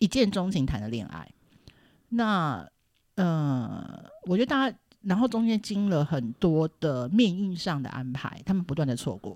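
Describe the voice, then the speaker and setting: Her pitch fairly low for a woman, she speaks at a fairly slow pace with very wide pitch swings. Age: 40s. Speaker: film industry worker. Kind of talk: casual chat. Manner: animated.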